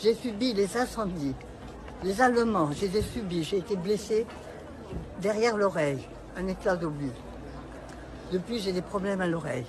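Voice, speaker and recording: A woman talks at a moderate pace with lively intonation and long, frequent pauses, her voice carrying audible room echo over crowd noise in the background. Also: medium pitch for a woman. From France, Le Havre (Normandy). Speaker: elderly protester interviewed. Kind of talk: street interview.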